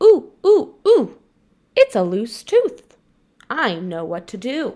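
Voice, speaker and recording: A woman's put-on character voice, fairly high in pitch, at a very slow pace. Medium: read story.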